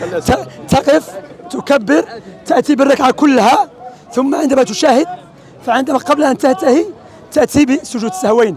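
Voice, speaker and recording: Crowd noise fills the background as a man speaks in an Algerian accent. His pitch is extremely high, and his intonation is lively. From Algeria, Oran. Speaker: street preacher. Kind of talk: religious teaching in street discussion.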